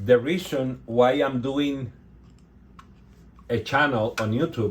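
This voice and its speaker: A man with a medium pitch and ordinary pitch variation talks at a very slow pace, his voice somewhat breathy. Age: 60s. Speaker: resin artist, channel owner. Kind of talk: casual video talk to viewers. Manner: halting.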